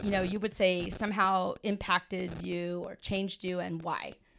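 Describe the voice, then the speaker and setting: Noticeable background noise is present throughout. Over it, a woman talks at a fairly slow pace. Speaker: podcast host, teacher. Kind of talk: casual chat, interview over wine. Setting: recorded in person, studio-like, with drinks. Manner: loud talker.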